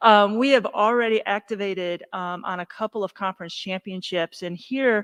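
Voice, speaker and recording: In a plain, everyday voice, a woman with an American accent speaks at a fairly high pitch with ordinary pitch variation, the sound dry and close with no echo. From northern US. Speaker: university athletics administrator. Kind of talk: staff meeting presentation.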